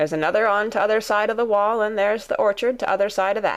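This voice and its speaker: Doing a put-on character voice, a woman rattles along very fast at medium pitch, raspy, with very even loudness and fairly even intonation. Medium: read story. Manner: curt, grudging.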